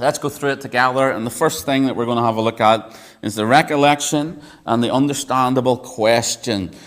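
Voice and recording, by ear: A natural voice reading aloud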